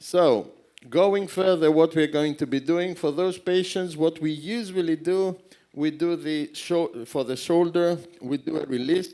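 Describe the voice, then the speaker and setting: With a Greek accent, a man speaks high in pitch, using ordinary pitch variation. His delivery moves at a fairly slow pace. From Greece. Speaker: surgeon. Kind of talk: conference lecture. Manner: halting, self-correcting.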